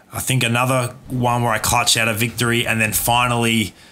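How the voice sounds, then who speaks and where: Speaking at a fairly quick pace, the voice comes through with an Australian accent. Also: man. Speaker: gaming streamer. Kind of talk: live stream chat with commentary. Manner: casual, relaxed.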